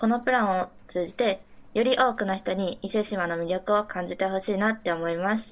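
In a plain, everyday voice, a woman of medium pitch talks at a fairly quick pace with fairly even intonation. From Mie Prefecture, Japan. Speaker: university student. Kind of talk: remote interview. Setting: remote call.

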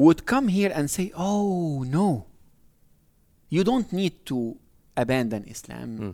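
With an Arabic accent, a man speaks very slowly in a fairly high pitch and a dark, mellow tone, his pitch swinging very widely. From Egypt. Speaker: professor of Islamic studies. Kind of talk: interview.

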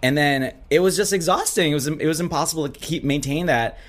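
A man with an American accent, fairly quick in pace and lively in intonation. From Minnesota. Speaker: drag performer. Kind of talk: casual interview.

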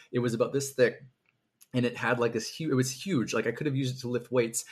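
Somewhat breathy, the man talks at a medium pitch. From Canada. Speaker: fantasy author. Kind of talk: casual interview chat. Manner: halting, many fillers.

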